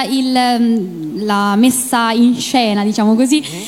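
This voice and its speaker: A Roman accent against noticeable background noise. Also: woman. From Rome, Italy. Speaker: singer and cosplayer, contest finalist. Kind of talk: interview on stage. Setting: stage with audience. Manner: hesitant, many fillers.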